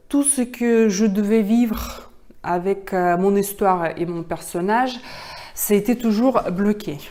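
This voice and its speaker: A woman's dark, mellow tone, fairly high, with ordinary pitch variation. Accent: Russian. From Russia. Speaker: actress. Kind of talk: public speaking pitch. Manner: halting, many hesitations.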